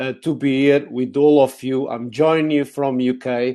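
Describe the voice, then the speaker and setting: With a Portuguese accent, a man speaks at a medium pitch and moderate pace in a dark, mellow tone over a quiet background. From Portugal, Lisbon. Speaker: technology speaker. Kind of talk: conference talk. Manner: hesitant, many fillers.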